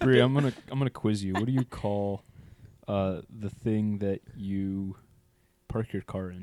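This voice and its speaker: A man's fairly low, dark, mellow voice at a fairly slow pace with ordinary pitch variation, dry and close with no echo. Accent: American. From Pennsylvania, Lancaster County. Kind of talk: casual chat.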